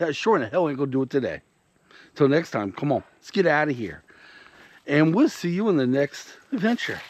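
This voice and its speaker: Over a quiet background, a man talks at a fairly quick pace, his pitch swinging very widely. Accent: Southern US. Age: 50s. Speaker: YouTube vlogger. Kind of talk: casual vlog talk to camera.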